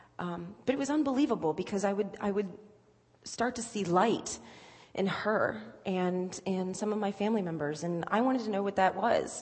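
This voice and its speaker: Over noticeable background noise, a woman with an American accent talks at medium pitch and a moderate pace. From Virginia Beach, Virginia. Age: 20s. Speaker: church member sharing testimony. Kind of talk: testimony. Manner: halting, many fillers.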